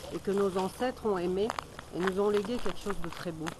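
A woman's voice in a dry sound with no echo, with noticeable background noise. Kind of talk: interview answer. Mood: warm, heartfelt. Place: forest. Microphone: phone near.

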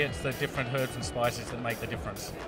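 Clear music plays behind a man as he speaks. The sound is dry, with no echo. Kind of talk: interview answer. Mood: friendly, relaxed. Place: hall. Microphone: handheld.

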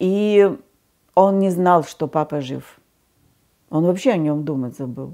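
Very slow speech from a woman with long, frequent pauses, lively intonation, big swings in loudness, a dark, mellow tone and fairly low pitch, over a quiet background. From Siberia, Krasnoyarsk region, Russia; Russia. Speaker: witness telling family story; witness. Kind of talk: testimony, personal memoir. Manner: conversational, reflective. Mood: reflective, emotional storytelling. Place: home room.

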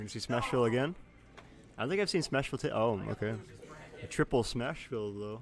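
A man talks at a very fast pace with lively intonation, long and frequent pauses, and noticeable background noise. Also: medium pitch for a man, dry sound with no echo. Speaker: esports tournament commentator. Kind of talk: live commentary. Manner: animated. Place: classroom. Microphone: studio mic.

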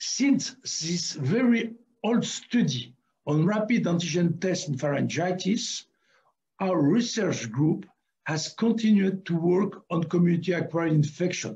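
Over a quiet background, a man speaks at a fairly slow pace in a dark, mellow tone. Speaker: award lecture presenter. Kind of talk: lecture. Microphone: webcam.

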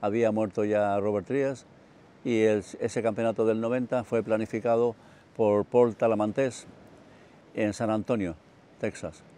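Speaking at a fairly slow pace with long, frequent pauses, a man uses a fairly low pitch, a dark, mellow tone and monotone, flat intonation. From Chile, Santiago. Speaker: martial artist. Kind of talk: autobiographical monologue. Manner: hesitant, with fillers.

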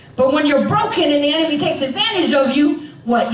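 Audible room echo and light background noise surround a woman's voice. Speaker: preacher. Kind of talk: sermon. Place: church.

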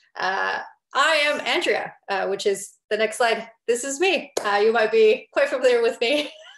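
A woman speaks at a moderate pace against a quiet background, with audible echo in the room. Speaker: webinar host. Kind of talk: webinar presentation. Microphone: video call.

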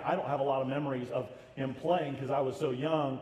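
A man with an American accent speaks at a moderate pace in a slightly mellow tone, his intonation fairly even over faint background noise.

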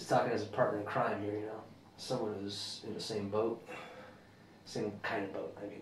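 A man's fairly low voice at a moderate pace, little pitch movement and strong room echo

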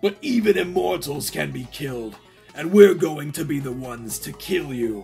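A man puts on a fairly high-pitched character voice. Faint music plays in the background. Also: moderate pace. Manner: menacing.

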